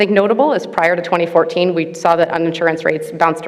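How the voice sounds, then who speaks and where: The speech comes at a very fast pace over noticeable background noise, with audible room echo. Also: woman. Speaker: researcher presenting at a conference panel. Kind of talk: conference presentation.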